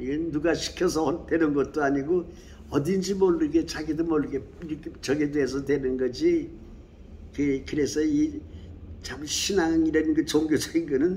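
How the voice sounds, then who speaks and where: A man with fairly high pitch and a dark, mellow tone, fairly even intonation at a moderate pace. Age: 80s+. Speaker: Buddhist painting artist. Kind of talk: interview answer.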